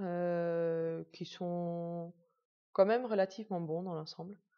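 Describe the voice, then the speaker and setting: A woman is speaking. Her tone is dark and mellow. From Netherlands. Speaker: patient sharing illness journey. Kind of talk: personal testimony. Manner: hesitant, many fillers.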